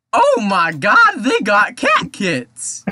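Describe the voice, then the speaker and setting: A put-on character voice with a fairly high pitch. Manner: exaggerated, put-on character voice.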